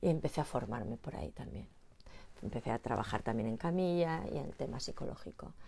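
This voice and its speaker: A woman's very deep, low voice with a dark, mellow tone, vocal fry, very wide pitch swings and a fairly quick pace. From Spain. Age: 50s. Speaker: postural therapist and former dancer. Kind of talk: casual interview.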